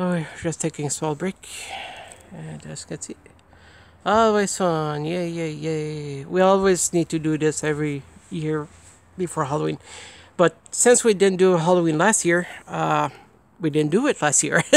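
The speech moves at a moderate pace with long, frequent pauses, and the sound is dry with no echo. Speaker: home vlogger. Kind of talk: casual vlog chat. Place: street. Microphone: phone near.

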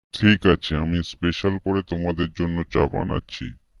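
This man uses a cartoonish character voice pitched very deep and low, with ordinary pitch variation. He talks at a moderate pace, and the sound is dry and close with no echo.

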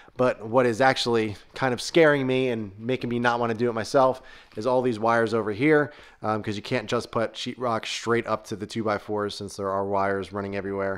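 Over a quiet background, a man speaks at a fairly quick pace with fairly even intonation. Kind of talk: casual vlog tour narration. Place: garage. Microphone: phone near.

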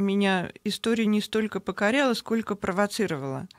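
The sound is dry with no echo over a quiet background. A woman speaks at medium pitch with ordinary pitch variation. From Moscow, Russia; Russia. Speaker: novelist; guest. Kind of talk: radio interview. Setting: radio studio. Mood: calm, engaged storytelling. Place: studio. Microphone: studio mic.

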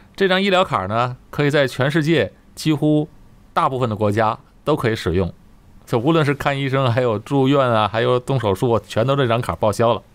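Speaking at a fairly quick pace, a man with a normal speaking voice uses lively intonation at medium pitch, keeping his loudness very even. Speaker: video host. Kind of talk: casual interview chat. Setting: remote recording over the internet.

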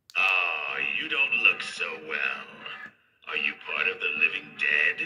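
Doing a cartoonish character voice, a man talks at a fairly slow pace with an extremely high pitch. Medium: animated Halloween prop. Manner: menacing, teasing.

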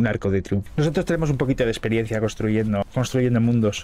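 Moving at a fairly quick pace, a man talks with ordinary pitch variation. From Spain. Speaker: gaming streamer. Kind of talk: casual gameplay chat. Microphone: studio mic.

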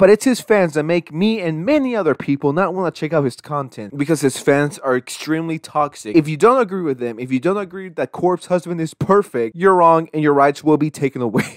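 An ordinary speaking voice, a man with fairly high pitch and lively intonation, fairly quick with hardly any pauses, in a dry, close sound with no echo. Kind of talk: rant commentary.

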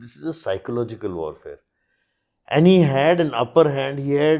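Lively intonation from a man at medium pitch, a moderate pace, and a quiet background. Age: 50s. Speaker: author of a military biography; podcast guest. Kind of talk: podcast interview. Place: studio. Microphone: lapel.

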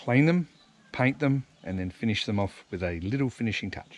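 Speaking at a fairly quick pace, a man uses an ordinary speaking voice with ordinary pitch variation, recorded dry with no echo. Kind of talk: casual vlog tutorial. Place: street. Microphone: phone near.

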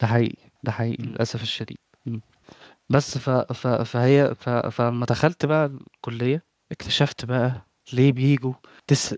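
A man's medium-pitched, monotone, flat delivery at a fairly slow pace, with a dry, close sound and no echo. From Egypt. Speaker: psychiatrist. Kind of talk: casual chat. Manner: halting.

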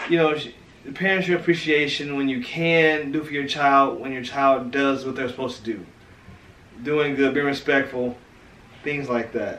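A man with an American accent at a moderate pace, fairly even intonation, long, frequent pauses, audible room echo and light background noise. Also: fairly high pitch for a man. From St. Louis, Missouri; Missouri. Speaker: family vlogger. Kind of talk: casual family interview. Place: home room. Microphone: camera far.

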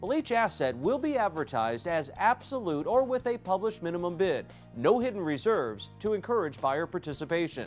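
Faint music sits in the background behind a man with a high pitch. He talks at a moderate pace in an upbeat tone with very wide pitch swings. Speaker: promotional presenter. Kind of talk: corporate promotional narration. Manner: upbeat, persuasive. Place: studio. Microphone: lapel.

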